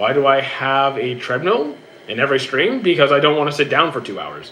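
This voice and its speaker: A man's fairly high voice with a Canadian accent at a fairly quick pace, over noticeable background noise. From Canada. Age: 30s. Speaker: streamer and gym trainer. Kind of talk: casual live-stream Q&A. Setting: live stream on a treadmill. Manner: stutters, repeats himself.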